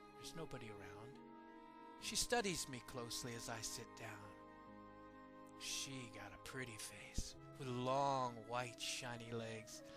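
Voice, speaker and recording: A man's medium-pitched voice with ordinary pitch variation, at a fairly slow pace with long, frequent pauses, music in the background. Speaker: poetry performer. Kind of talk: dramatic poetry reading.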